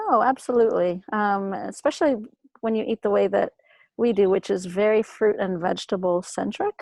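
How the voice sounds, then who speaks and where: In a plain, everyday voice, a woman speaks at a medium pitch and a moderate pace with ordinary pitch variation, the sound dry and close with no echo. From Greece, Athens area, moved to US around age seven. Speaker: emergency physician. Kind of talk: interview, casual chat. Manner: many fillers and repetitions.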